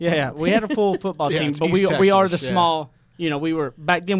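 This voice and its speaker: Speaking at a moderate pace, a man with a strong East Texas accent shows ordinary pitch variation. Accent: strong East Texas country twang. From East Texas, Tyler area. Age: 30.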